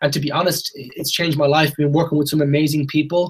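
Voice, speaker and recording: Very fast, somewhat breathy speech in a flat monotone, with a western Irish accent. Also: man. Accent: Irish (west of Ireland). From Ireland, Galway. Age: 20s. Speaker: network marketing presenter. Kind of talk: sales pitch. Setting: video call.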